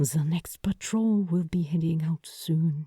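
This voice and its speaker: A soft-spoken, put-on character voice at a fairly slow pace. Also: woman. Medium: read story. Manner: quiet, soft-spoken.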